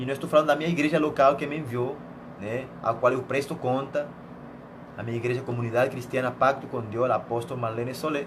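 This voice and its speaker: Very fast speech in a Venezuelan accent with fairly even intonation, audible room echo and noticeable background noise. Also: man, medium pitch for a man. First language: Spanish (speaking Portuguese). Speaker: missionary preacher. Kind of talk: sermon.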